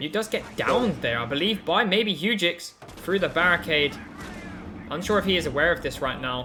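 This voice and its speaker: Music plays in the background as a man talks in an animated tone. His pitch is high. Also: lively intonation, moderate pace. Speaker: esports caster. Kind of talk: live commentary. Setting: live stream.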